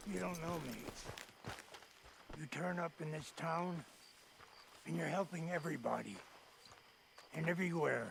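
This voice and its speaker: In a raspy put-on character voice, someone talks at a moderate pace with fairly even intonation and long, frequent pauses against clear background noise. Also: man, fairly high pitch for a man. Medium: video game. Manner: bitter, contemptuous.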